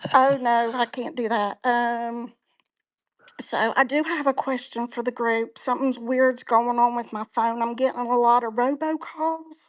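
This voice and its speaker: Very cleanly recorded against a silent background, a woman with an Appalachian accent speaks at a fairly slow pace in a high voice with fairly even intonation. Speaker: online community member. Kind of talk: casual chat. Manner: halting.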